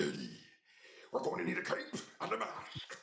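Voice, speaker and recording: Using a put-on character voice, a man talks raspily at a moderate pace. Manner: menacing.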